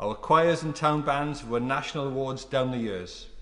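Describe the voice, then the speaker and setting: The speaker is a man. He talks in a South Wales Valleys accent. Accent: South Wales Valleys Welsh English. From South Wales Valleys (Tredegar). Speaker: member of parliament. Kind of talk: parliamentary maiden speech. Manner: formal.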